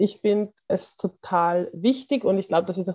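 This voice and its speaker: Against a quiet background, a woman with a dark, mellow tone speaks at a moderate pace. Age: 20s. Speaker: activist. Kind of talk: interview.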